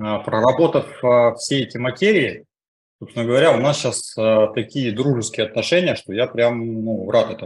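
A man's medium-pitched, somewhat breathy voice at a moderate pace, with ordinary pitch variation. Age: 40s. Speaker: coaching school student. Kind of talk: testimony. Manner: halting.

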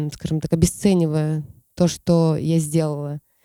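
The voice has a dark, mellow tone and moves at a very slow pace. The sound is dry and close with no echo. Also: woman. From Siberia. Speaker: poet. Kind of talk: casual chat.

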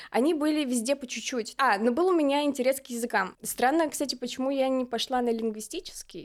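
Over noticeable background noise, a woman talks in an animated tone at a high pitch with ordinary pitch variation. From Kazakhstan. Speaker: dance podcaster, former content moderator. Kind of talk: casual chat.

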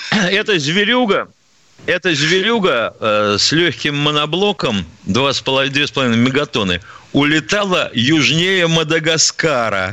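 A man talks very slowly at a fairly high pitch, his pitch swinging very widely while his loudness stays very even, with noticeable background noise. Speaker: radio co-host, retired army colonel. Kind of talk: call-in radio show. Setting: studio.

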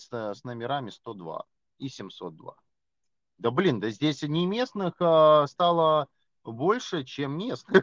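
Very slow speech comes from a man with a fairly high pitch. His intonation is lively. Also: dry, close sound with no echo. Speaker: podcast co-host. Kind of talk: casual chat. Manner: loud, ranting.

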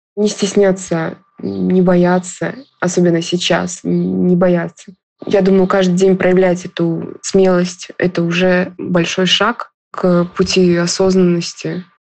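At a very slow pace, a woman speaks in a monotone, flat intonation. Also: medium pitch for a woman, very even loudness. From Russia. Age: 20s. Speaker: university student. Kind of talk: recorded personal story.

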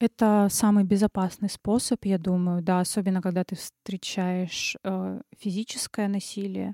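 On a very clean recording with a silent background, a woman speaks in a dark, mellow tone with monotone, flat intonation and a dry, close sound with no echo. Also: medium pitch for a woman, fairly slow pace, hardly any pauses. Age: 20s. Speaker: recent pedagogy graduate. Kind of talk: casual chat.

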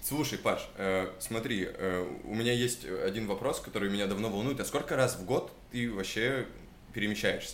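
Audible room echo surrounds a man who speaks at a moderate pace and medium pitch with ordinary pitch variation. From Chelyabinsk, Russia. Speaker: podcast host. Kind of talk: casual chat.

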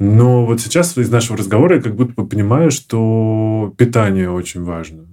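Speaking at a medium pitch, a man uses a normal speaking voice with ordinary pitch variation. He keeps a moderate pace with hardly any pauses. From small Russian town. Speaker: podcast host. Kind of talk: podcast interview. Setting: studio.

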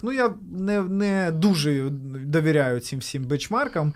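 This man has an unremarkable speaking voice with a fairly high pitch. His intonation is lively. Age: 30s. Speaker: entrepreneur. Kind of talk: interview.

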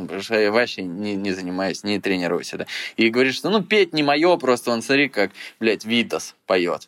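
A man's normal speaking voice at medium pitch, lively intonation, and a moderate pace. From Belarus. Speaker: blogger and producer. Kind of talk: casual interview.

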